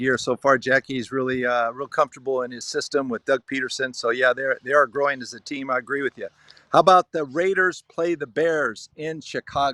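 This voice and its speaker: A man with an American accent speaks at a medium pitch with fairly even intonation and a bright, sharp tone. The sound is dry and close with no echo. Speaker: sports show host. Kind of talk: sports prediction chat. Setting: outdoors at a vineyard.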